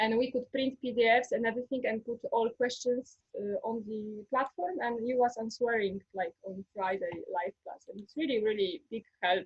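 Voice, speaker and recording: The voice, in a Polish accent, moves at a moderate pace with hardly any pauses. Its pitch varies in an ordinary way, while its loudness swings a lot. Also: woman, fairly high pitch for a woman. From Poland. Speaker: former history teacher, ayurveda student. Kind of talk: interview testimony. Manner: halting.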